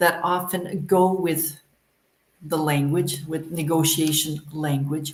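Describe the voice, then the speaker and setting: This woman talks at a very slow pace in a Canadian accent, her voice somewhat breathy. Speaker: English teacher. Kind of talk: live online lesson. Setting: livestream.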